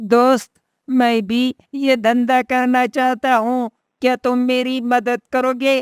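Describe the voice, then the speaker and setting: A woman's cartoonish character voice, high-pitched and monotone with flat intonation, at a very slow pace. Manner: eager, wheedling.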